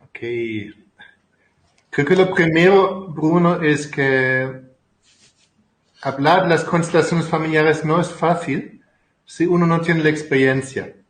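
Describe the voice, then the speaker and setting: In a room with audible echo, a man with a fairly high voice talks at a very slow pace with long, frequent pauses. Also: fairly even intonation. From Germany. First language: German (speaking Spanish). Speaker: family constellation therapist and author. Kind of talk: interview. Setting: video call.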